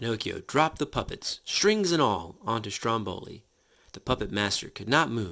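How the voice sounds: Heard here is a natural reading voice.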